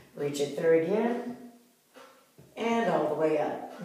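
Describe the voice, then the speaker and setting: A woman talks with a fairly low pitch and ordinary pitch variation. Strong room echo fills the recording. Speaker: fitness instructor. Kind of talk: tutorial.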